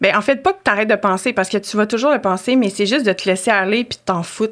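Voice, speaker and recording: Speaking at a very fast pace, a woman uses a medium pitch. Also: ordinary pitch variation. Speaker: podcast guest. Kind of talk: casual chat. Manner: loud; animated.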